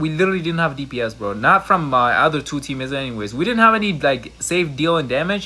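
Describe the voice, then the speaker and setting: With lively intonation and a fairly high pitch, a man rattles along at a very fast pace. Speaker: gaming youtuber. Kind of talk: gameplay commentary. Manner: casual, slangy.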